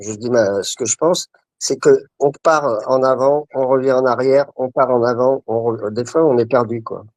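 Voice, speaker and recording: A man with a normal speaking voice talks fairly slowly at a medium pitch, the sound dry and close with no echo. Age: 60s. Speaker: pop rock musician. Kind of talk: interview.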